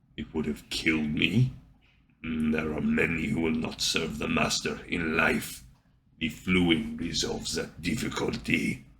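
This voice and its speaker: A man speaks in a put-on character voice with a very deep, low pitch. His pace is fairly slow. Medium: read story. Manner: cold, flat, formal.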